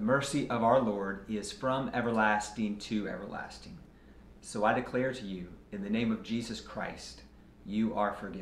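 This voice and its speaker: Over light background noise and audible room echo, a man talks at a moderate pace with fairly even intonation. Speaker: pastor. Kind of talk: fervent communal prayer of confession, liturgical and solemn. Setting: church. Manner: measured, reverent cadence with earnest pleading tone; formal liturgical phrasing, occasional small repetitions. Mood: solemn, calm. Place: office.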